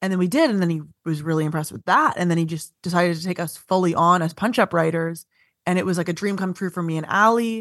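At a very fast pace, a woman with an Ontario accent speaks at a fairly low pitch with ordinary pitch variation against a quiet background. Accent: Canadian (Ontario). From Ontario, Canada (Vaughan, north of Toronto). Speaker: stand-up comedian and TV writer. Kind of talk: casual interview chat.

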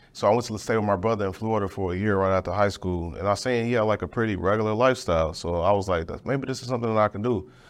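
Talking at a very fast pace with hardly any pauses, a man uses a fairly low pitch and ordinary pitch variation over a quiet background. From Chicago west side. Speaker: podcast host, military veteran. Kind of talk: interview. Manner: casual, relaxed.

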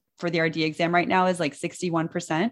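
The background is quiet. A woman's voice sits fairly low in pitch. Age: 30s. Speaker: dietitian and business founder. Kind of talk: interview.

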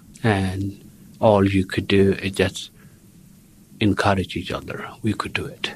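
A man speaks with a South Sudanese accent in a monotone, flat intonation. His pace is fairly slow, with long, frequent pauses. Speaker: social worker. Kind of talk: interview.

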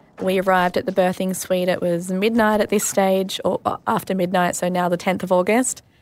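A woman speaks fairly quickly in an Australian accent. Her pitch is medium and her intonation fairly even. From Australia, Sydney. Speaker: mother sharing birth story. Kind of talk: personal testimony interview.

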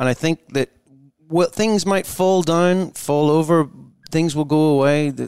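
With a Northern Irish accent, a man speaks at a fairly high pitch and fairly slow pace, with ordinary pitch variation, very even loudness, and a dry, close sound with no echo. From Northern Ireland. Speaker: singer and guitarist. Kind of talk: casual chat.

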